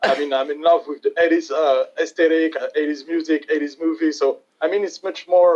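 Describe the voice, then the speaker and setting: A man with a French accent, fairly high-pitched and fairly quick, with fairly even intonation and hardly any pauses. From France. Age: 20s. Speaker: metal guitarist. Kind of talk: interview. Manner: halting.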